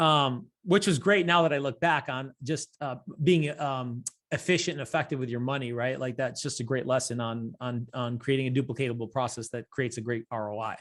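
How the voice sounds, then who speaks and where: Talking at a fairly quick pace, a man with an American accent has an ordinary speaking voice, medium pitch and ordinary pitch variation. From Rochester, New York. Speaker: real estate team owner. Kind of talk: interview.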